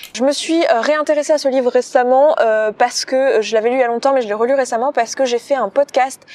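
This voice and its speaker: Speaking at a fairly quick pace, a woman with a high pitch and ordinary pitch variation is captured in a dry, close sound with no echo. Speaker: podcaster and personal development coach. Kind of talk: casual video talk, book summary. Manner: fast; filler-heavy, hesitant 'euh'.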